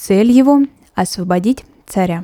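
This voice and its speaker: The speaker has a solemn tone and talks at a very slow pace, with a dry, close sound with no echo. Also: woman. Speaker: podcast host. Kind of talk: history documentary narration, scripted and read steadily. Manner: measured, solemn, even-paced.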